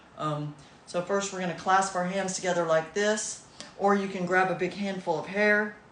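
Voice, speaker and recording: A woman speaks at a fairly slow pace in a medium pitch. Audible room echo surrounds her voice. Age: 60s. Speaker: massage therapist doing self-care videos. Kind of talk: casual guided self-care demonstration.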